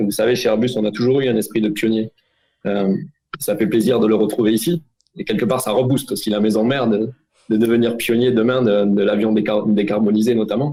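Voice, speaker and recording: A man talks at medium pitch with a dark, mellow tone. His pace is moderate and his pitch varies in an ordinary way. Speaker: aerospace executive. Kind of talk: interview. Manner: halting.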